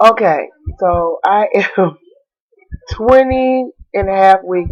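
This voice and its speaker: A woman speaks in an animated tone. Her pitch variation is ordinary. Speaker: vlogger. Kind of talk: casual vlog.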